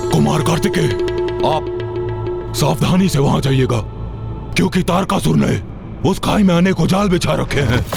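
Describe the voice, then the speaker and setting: A man does a put-on character voice at a moderate pace. Loud music plays in the background. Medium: short film.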